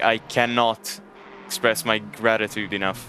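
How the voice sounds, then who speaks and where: Music plays in the background. A man with a Hungarian accent speaks at a medium pitch. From Hungary. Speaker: sim racing commentator. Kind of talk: live commentary. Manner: casual, halting.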